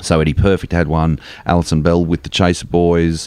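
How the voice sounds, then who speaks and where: A man with an Australian accent. His voice sits very deep and low. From Australia, Melbourne eastern suburbs. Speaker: comedian. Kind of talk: casual chat. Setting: studio.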